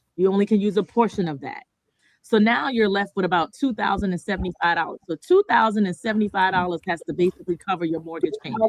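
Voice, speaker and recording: Very fast woman's speech at a medium pitch, with ordinary pitch variation and a dry, close sound with no echo. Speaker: mortgage lending presenter. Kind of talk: seminar presentation. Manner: conversational with filler words.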